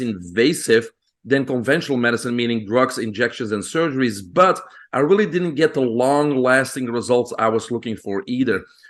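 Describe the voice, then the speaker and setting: With a Belgian accent, a man speaks at a moderate pace in a medium pitch with ordinary pitch variation against a quiet background. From Belgium. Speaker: physician. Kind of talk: podcast interview. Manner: hesitant with fillers.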